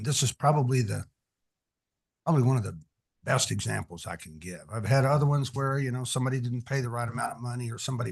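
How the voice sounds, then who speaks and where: A man speaks at medium pitch. His pace is very fast. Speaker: commission applicant, attorney. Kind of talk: interview. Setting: meeting room, far from listener. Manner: loud. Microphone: far from the mic.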